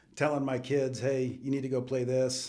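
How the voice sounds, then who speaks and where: A man with an American accent talks at a moderate pace. His medium-pitched voice carries audible room echo. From US West Coast, Southern California. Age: 60s. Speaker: business owner. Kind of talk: casual chat.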